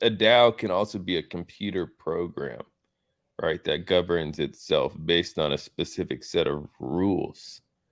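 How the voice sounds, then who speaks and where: A man with a very deep, low voice speaks fairly slowly, his pitch varying in an ordinary way. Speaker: crypto DAO founder. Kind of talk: interview. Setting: Twitter space audio room. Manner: hesitant, filler-heavy.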